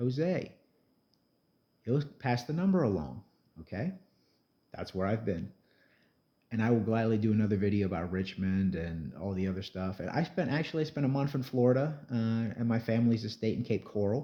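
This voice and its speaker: With a New Jersey accent, a man at medium pitch speaks in a dark, mellow tone with lively intonation at a moderate pace, leaving long, frequent pauses. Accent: New Jersey American English. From South Jersey, US. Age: 40s. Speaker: entertainer vlogger. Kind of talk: casual vlog monologue.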